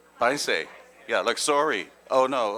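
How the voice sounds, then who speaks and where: A man talks at a moderate pace. He has a Dutch accent. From Netherlands. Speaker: policy advisor. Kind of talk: panel talk. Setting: stage with audience. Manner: halting.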